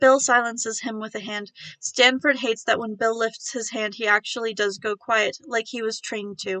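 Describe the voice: This is plain reading aloud, delivered with fairly even intonation.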